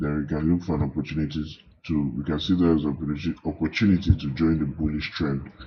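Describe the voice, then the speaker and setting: A man talks in a very deep, low voice with fairly even intonation. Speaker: forex trader and signals seller. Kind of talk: tutorial; sales pitch. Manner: halting, self-correcting.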